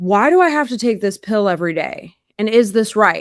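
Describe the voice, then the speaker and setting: At a moderate pace, a woman speaks in a plain, everyday voice at a fairly high pitch, with dry, close sound and no echo. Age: 40s. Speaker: carnivore diet influencer and powerlifter. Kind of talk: interview testimony. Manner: casual with many fillers.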